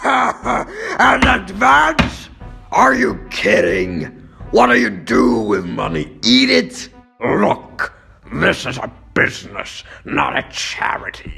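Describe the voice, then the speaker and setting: Faint music plays in the background as a man does a put-on character voice at a very slow pace. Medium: dub. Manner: loud, blustering.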